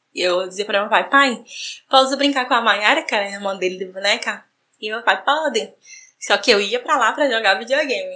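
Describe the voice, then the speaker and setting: A woman's fairly high, bright, sharp voice at a fairly quick pace, with ordinary pitch variation and big swings in loudness. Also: quiet background. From Brazil, João Pessoa, Paraíba. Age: 30s. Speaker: gaming content creator. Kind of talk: personal story recorded testimony.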